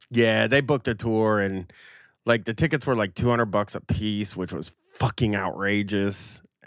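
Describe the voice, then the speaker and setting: A man's fairly low voice, an unremarkable speaking voice, at a moderate pace with ordinary pitch variation, in a very clean recording with a silent background. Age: 40s. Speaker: podcaster. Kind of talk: casual chat.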